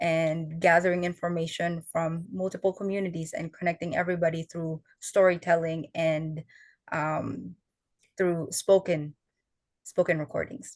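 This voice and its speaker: In a Filipino accent, a woman speaks in a fairly low pitch with monotone, flat intonation, the sound dry and close with no echo against a quiet background. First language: Tagalog. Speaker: student fellow, oral historian. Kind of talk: panel interview.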